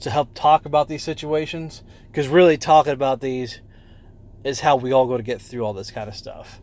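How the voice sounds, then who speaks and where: A man mumbles at a fairly high pitch. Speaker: vlogger documenting weight loss. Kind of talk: casual vlog monologue. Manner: mumbling; rambling, hesitant with fillers.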